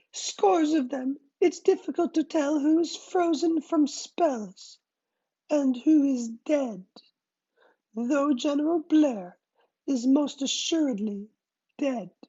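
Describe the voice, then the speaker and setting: In a put-on character voice, the speaker uses a high pitch and a fairly slow pace, with long, frequent pauses. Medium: read story. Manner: smooth, firm.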